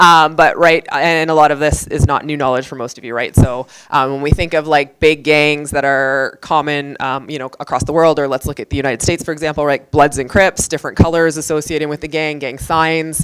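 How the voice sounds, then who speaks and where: Very deep, low-pitched woman at a fairly quick pace with hardly any pauses, monotone, flat intonation and big swings in loudness, over music in the background. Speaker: police officer. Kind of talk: lecture. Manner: fast.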